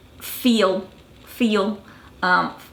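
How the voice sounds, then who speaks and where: A woman speaks in a plain, everyday voice at a medium pitch, with ordinary pitch variation. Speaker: dialect coach. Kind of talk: educational talk to camera.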